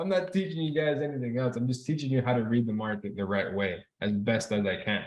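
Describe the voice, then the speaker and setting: A man with a Spanish accent talks at a very fast pace, his intonation lively. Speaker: trading instructor. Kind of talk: live online class. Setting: video call. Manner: casual, repetitive.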